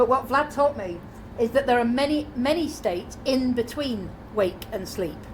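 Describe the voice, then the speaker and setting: Audible room echo surrounds a woman speaking at a high pitch. Her British accent carries lively intonation. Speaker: conference speaker. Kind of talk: conference talk. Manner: fast.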